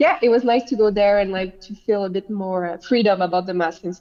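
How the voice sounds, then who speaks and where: In a French accent, a woman talks at a medium pitch with ordinary pitch variation. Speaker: beach volleyball player. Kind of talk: casual chat.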